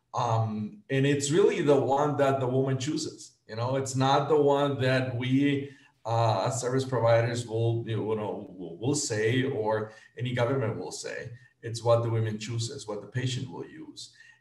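A man's voice at medium pitch, fairly slow, with ordinary pitch variation, big swings in loudness, audible room echo and a quiet background. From Guatemala. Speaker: nonprofit executive director, reproductive health; panelist. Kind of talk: panel presentation. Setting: video call. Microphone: video call.

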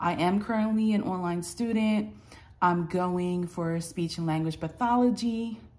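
Ordinary pitch variation from a woman at a fairly slow pace. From US Northeast, New Jersey. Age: 30s. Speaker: vlogger. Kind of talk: casual vlog introduction. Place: home room. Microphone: phone near.

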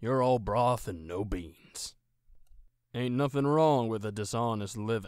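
A man's put-on character voice at a medium pitch, fairly slow pace, on a very clean recording with a silent background. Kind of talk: video game character voice.

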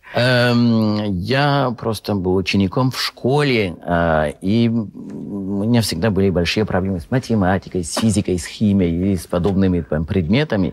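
A man with a French accent speaks at a fairly slow pace in a fairly low pitch, with hardly any pauses. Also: ordinary pitch variation. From France. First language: French (speaking Russian). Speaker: film festival correspondent. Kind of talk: talk show interview. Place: studio.

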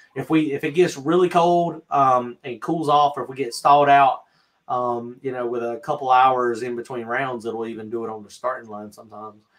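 A man talks at a moderate pace with a Southern US accent. His loudness swings widely. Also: medium pitch for a man, ordinary pitch variation. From North Carolina. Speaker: drag racer and channel host. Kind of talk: live-stream Q&A chat. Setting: video call. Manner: casual, laughs often. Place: home room. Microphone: video call.

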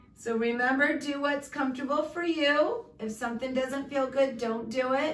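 A woman at a fairly slow pace with fairly even intonation, amid audible room echo and light background noise. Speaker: fitness instructor. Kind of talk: exercise class instruction. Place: home room. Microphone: camera far.

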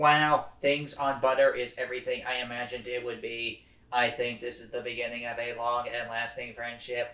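Putting on a character voice, a man with a medium pitch talks at a moderate pace with hardly any pauses. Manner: whiny and envious, then gushing.

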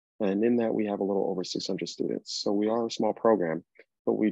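Over a quiet background, a man with a normal speaking voice talks at a fairly quick pace and fairly low pitch, with ordinary pitch variation and a dry sound with no echo. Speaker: presenter. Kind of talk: informational presentation. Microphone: video call.

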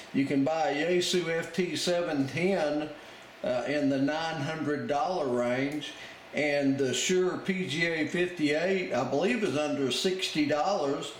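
A man speaks at a very slow pace, with very even loudness and fairly even intonation. Audible room echo and light background noise are in the recording. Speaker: radio hobbyist. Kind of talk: tutorial. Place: home room.

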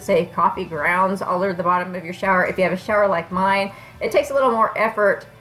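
A woman talks at a very fast pace in an American accent. Faint music plays in the background. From Kansas. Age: 40s. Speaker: beauty vlogger. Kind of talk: casual product review. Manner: conversational. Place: home room. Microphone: phone near.

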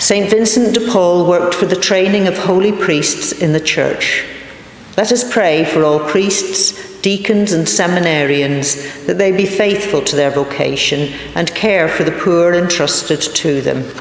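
A woman speaks at a fairly slow pace. Room echo is audible around her voice. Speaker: reader of intercessions. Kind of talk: reading prayers of the faithful. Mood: calm, reverent. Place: church. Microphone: podium.

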